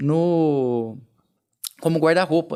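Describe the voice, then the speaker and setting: A man speaks with a fairly high pitch and a strong rural Minas Gerais accent. The recording is very clean, with a silent background. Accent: strong rural Minas Gerais (caipira). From Brazil, southern Minas Gerais (Nepomuceno). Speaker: entrepreneur. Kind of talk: interview conversation.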